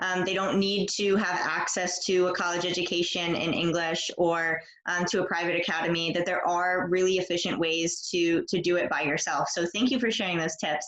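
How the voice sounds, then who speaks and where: A woman speaks with a fairly low pitch and fairly even intonation. Her loudness stays very even over noticeable background noise. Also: moderate pace. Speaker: English teacher. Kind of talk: interview host questions.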